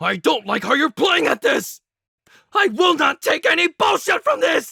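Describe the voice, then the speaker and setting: A high-pitched, put-on character voice. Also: moderate pace. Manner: angry, shouting.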